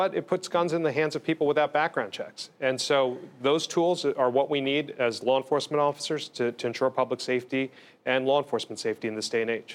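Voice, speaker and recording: A man with an American accent, fairly high in pitch, at a very fast pace. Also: ordinary pitch variation. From New Jersey (Bergen and Essex). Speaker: state attorney general. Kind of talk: TV interview. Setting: studio.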